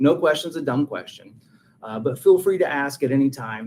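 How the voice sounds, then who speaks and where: A man with a slight Texas accent talks at a moderate pace in a medium pitch. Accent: slight Texas twang. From Texas, rural. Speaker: realtor. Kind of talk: webinar presentation. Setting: video call webinar.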